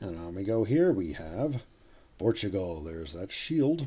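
A man's relaxed, somewhat breathy voice with a dark, mellow tone and very wide pitch swings. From Canada. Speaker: coin collector YouTuber. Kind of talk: hobby video commentary. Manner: relaxed, with frequent fillers and self-corrections.

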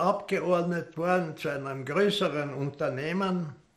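A man talks at a very slow pace in a fairly high voice with ordinary pitch variation. The background is quiet. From Austria. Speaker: war veteran. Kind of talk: interview answer. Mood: calm, reflective. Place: home room.

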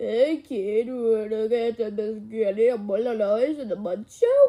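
A put-on character voice, female-sounding and fairly high in pitch, at a moderate pace. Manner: laid-back, joking.

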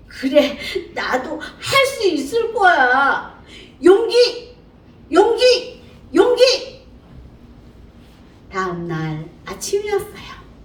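A woman talks at a very slow pace with an extremely high pitch and very wide pitch swings. Long, frequent pauses break her speech over noticeable background noise. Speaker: storyteller. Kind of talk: children's story reading. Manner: lively, animated. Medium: read story.

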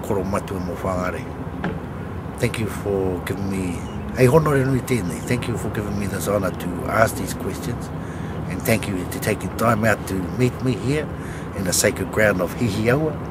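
Amid loud background noise, a man speaks at a moderate pace with ordinary pitch variation and long, frequent pauses. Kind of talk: casual spoken address. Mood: respectful, warm. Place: waterside. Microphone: phone near.

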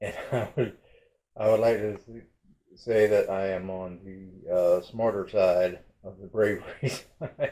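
A dark, mellow tone at a fairly slow pace, with audible room echo. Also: man. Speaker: vlogger. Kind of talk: casual vlog chat. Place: home room. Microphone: phone near.

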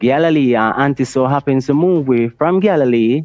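A man with a Jamaican accent, at a moderate pace. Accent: Jamaican English with Patois. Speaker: Rastafari priest. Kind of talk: casual chat. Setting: video call.

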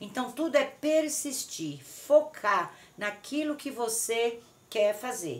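A woman speaks very slowly in a high voice, her intonation lively and her loudness swinging widely. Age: 60s. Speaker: craft artisan and online course seller; plant vlogger. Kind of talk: casual video vlog. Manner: warm, affectionate. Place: garden. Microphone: phone near.

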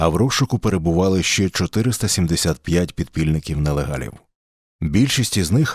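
A man talks at a moderate pace in a very deep, low voice. His pitch swings very widely. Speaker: narrator. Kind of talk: history podcast narration.

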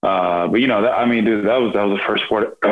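A man speaks with a Texan accent. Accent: Texan American English. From Texas, Rockwall and Royse City area; Texas. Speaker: professional baseball pitcher; podcast guest. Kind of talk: casual interview chat. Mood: relaxed, reflective. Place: home room. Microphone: video call.

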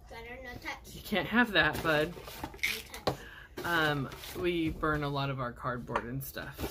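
A woman's very deep, low voice at a fairly slow pace, with very wide pitch swings, big swings in loudness, long, frequent pauses and noticeable background noise. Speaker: video blogger and essential oils seller; product seller. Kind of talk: product unboxing video; casual unboxing vlog chat. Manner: casual, filler-heavy. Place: home room. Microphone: phone near.

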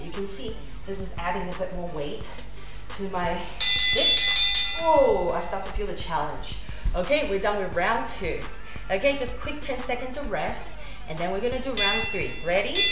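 Over loud music in the background, a woman talks at a moderate pace with long, frequent pauses and audible room echo. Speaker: fitness instructor. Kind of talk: workout instruction. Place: home room. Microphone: camera far.

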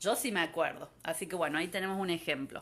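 The surroundings are quiet. A woman does the talking. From Argentina, Córdoba; Argentina. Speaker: environmental geographer giving a talk. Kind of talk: online lecture. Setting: Facebook Live from home. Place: home room. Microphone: phone near.

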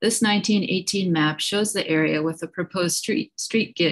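A woman speaks in a normal speaking voice. Her pitch sits fairly low and her intonation stays fairly even. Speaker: presenter. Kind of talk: formal presentation. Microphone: video call.

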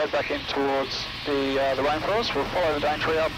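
A man's voice comes through dry and without echo amid loud background noise. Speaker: helicopter pilot guide. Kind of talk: interview answer. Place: plane. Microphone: headset.

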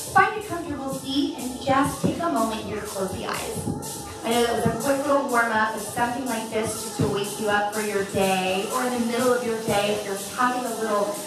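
Clear music plays in the background as a woman speaks with ordinary pitch variation amid audible room echo. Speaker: fitness instructor. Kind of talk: guided class instruction. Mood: calm, soothing. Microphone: camera far.

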